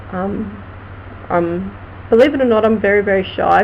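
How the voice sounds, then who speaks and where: A woman with an Australian accent talks at a moderate pace and medium pitch with ordinary pitch variation. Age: 40s. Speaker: vlogger and crime writer. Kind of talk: casual live stream chat.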